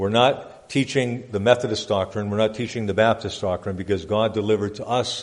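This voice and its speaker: Fairly quick, fairly even speech from a man with a fairly low pitch. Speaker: pastor. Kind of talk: church report reading. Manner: fast.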